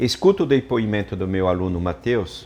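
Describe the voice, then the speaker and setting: His voice is very deep and low in pitch. The man's intonation is lively. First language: French (speaking Portuguese). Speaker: chef and cooking teacher. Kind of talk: online class presentation.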